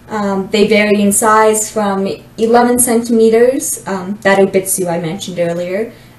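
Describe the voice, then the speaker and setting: A woman talks in an ordinary speaking voice, medium in pitch, at a moderate pace with fairly even intonation. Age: 20s. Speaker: doll collector, university student. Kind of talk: casual self-introduction monologue.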